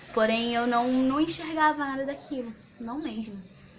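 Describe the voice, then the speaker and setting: A woman at a moderate pace with audible room echo and noticeable background noise. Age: 20s. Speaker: student activist. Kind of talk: interview testimony.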